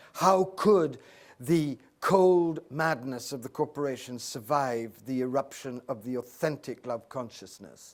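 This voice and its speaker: On a very clean recording with a silent background, a man with an Oxford accent speaks at a fairly slow pace in a medium pitch with ordinary pitch variation. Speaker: spiritual teacher. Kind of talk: Q&A discussion with audience. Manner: impassioned, oratorical.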